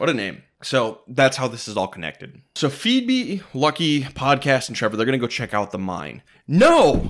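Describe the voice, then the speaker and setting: On a very clean recording with a silent background, a man with an American accent speaks at a moderate pace in a medium-pitched voice with vocal fry and lively intonation. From Minneapolis suburbs, Minnesota. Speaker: podcast host. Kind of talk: casual chat.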